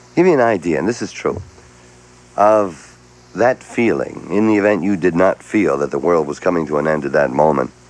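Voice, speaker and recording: A man's very deep, low voice at a moderate pace, broken by long, frequent pauses, with noticeable background noise. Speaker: radio host. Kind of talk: morning radio show, talking with callers. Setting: radio broadcast.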